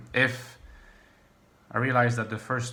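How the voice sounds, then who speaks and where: A man talks fairly quickly at a medium pitch. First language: French. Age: 30s. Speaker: YouTuber on personality types and philosophy. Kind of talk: casual vlog monologue. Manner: halting, many fillers.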